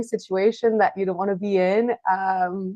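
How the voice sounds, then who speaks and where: A woman with a French accent, at a moderate pace. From France, Paris suburbs. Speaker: author and journalist. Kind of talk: casual interview chat.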